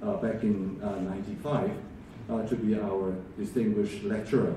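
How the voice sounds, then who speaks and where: A man talks at a moderate pace, his pitch moving in an ordinary way. Audible room echo and noticeable background noise surround his voice. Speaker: event host introducing the lecture. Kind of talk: formal speech introduction. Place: hall.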